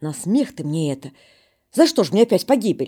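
A woman puts on a raspy character voice at a medium pitch, with very wide pitch swings and a fairly quick pace. The recording is very clean, with a silent background. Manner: distraught, pleading.

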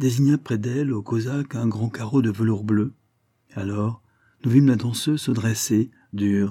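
Plain reading aloud unfolds with ordinary pitch variation and a quiet background.

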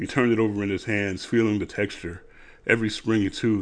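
This is an unforced reading voice. The traits above are the only ones given.

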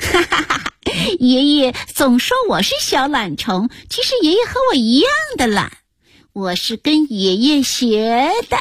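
A woman's put-on character voice, high-pitched with big pitch swings, a slightly husky edge, a fairly slow pace and long, frequent pauses.

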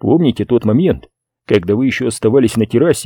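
Reading aloud in a natural voice, the speaker uses lively intonation. The background is quiet.

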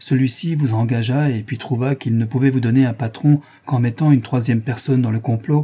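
What we hear is a natural reading voice.

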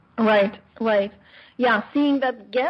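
At a moderate pace, a woman speaks in a fairly high, somewhat breathy voice. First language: Turkish. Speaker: radio host. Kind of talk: interview. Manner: hesitant with fillers.

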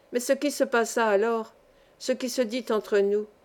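Reading in an unforced voice

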